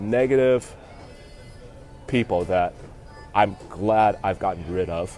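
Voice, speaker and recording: A fairly slow pace, with music in the background. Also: man. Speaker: vlogger. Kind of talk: casual livestream monologue. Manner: halting, many fillers.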